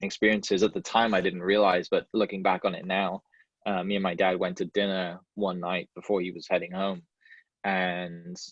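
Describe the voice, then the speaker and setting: A man with a Welsh accent speaks fairly quickly in a very deep, low pitch with monotone, flat intonation. The sound is dry and close with no echo, against a quiet background. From Wales. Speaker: podcast host, realtor, guest speaker. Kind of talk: talk to a club. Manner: casual, many fillers and restarts.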